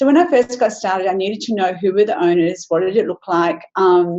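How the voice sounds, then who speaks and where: With an Australian accent, a woman talks at a medium pitch and a fairly quick pace, her intonation lively. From Western Australia. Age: 60s. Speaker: business presenter. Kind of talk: webinar presentation.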